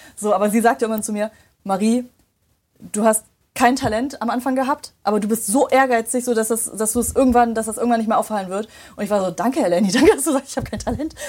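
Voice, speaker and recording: A woman speaks very fast in an animated tone, her fairly high pitch showing ordinary variation. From western Germany, Remscheid. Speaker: voice actress. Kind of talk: casual chat.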